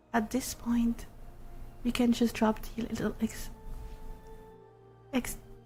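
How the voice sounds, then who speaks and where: Someone whispers, soft-spoken, at a very slow pace with long, frequent pauses. Music plays in the background. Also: woman. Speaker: ASMR streamer (virtual avatar). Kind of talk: interactive ASMR story. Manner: whispered, soft-spoken.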